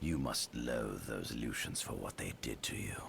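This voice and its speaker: Using a put-on character voice at a very deep, low pitch, a man talks at a moderate pace over clear background noise. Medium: video game. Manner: smooth, ingratiating, quietly calculating.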